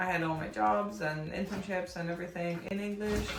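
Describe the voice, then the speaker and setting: Over music in the background and audible room echo, a woman with a fairly low pitch speaks at a moderate pace with fairly even intonation. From Hungary. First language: Hungarian. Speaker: vlogger. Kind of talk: casual vlog talk to camera.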